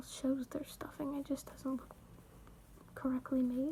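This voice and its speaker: The voice is quiet and moves at a moderate pace. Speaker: crochet video creator. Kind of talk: tutorial. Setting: at home late at night. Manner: casual, hesitant.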